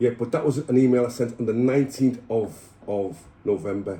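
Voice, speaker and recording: A dark, mellow tone comes through with somewhat breathy delivery. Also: man. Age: 60s. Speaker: ex-prisoner. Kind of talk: casual chat. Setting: at his home.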